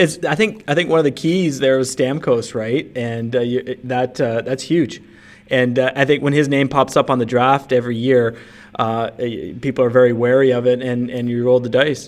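This man has an ordinary speaking voice at medium pitch. His intonation stays fairly even at a moderate pace. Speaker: fantasy hockey podcast co-host. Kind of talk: casual chat.

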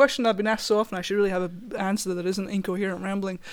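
A woman with a south Wales accent speaks at a medium pitch with fairly even intonation. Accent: south Wales Welsh. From south Wales valleys. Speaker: guitarist. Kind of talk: casual interview chat.

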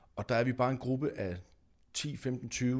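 A man's fairly slow delivery, captured very cleanly against a silent background. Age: 40s. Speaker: singer-songwriter. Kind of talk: casual chat.

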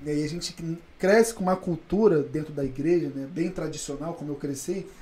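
At a fairly quick pace, a man talks in a high pitch with a dark, mellow tone. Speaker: day trader. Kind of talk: casual chat.

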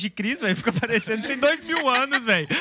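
A raised, projected voice races at a very fast pace over noticeable background noise. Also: man. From Brazil, Minas Gerais (born in Bahia). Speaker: youth leader at church. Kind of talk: casual chat.

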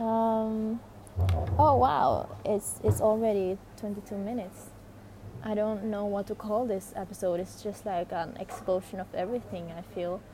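Dark, mellow and somewhat breathy, with ordinary pitch variation at a fairly slow pace. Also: woman, medium pitch for a woman. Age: 20s. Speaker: spiritual life coach and podcaster. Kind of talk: casual solo monologue.

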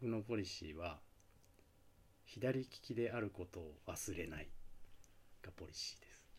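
A fairly low-pitched man, somewhat breathy, with lively intonation, big swings in loudness, a fairly slow pace and long, frequent pauses. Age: 40s. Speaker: DJ and father. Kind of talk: casual chat.

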